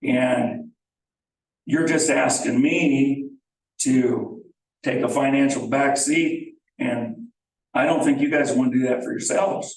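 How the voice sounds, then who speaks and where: A man speaks at a very slow pace, with long, frequent pauses. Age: 60s. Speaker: property owner. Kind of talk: public meeting discussion. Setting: village board meeting.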